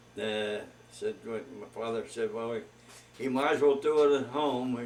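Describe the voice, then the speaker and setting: A man with an American accent talks at a fairly slow pace, in a medium pitch with ordinary pitch variation. Noticeable background noise runs underneath. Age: 80s+. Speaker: grandfather telling life story. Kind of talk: oral history interview. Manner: halting, many fillers.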